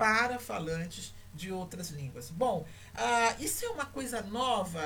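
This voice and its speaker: A woman with lively intonation, at a fairly slow pace, amid audible room echo. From Brazil, Rio de Janeiro. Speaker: university lecturer in language teaching. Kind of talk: online lecture. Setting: livestream. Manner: hesitant, many fillers.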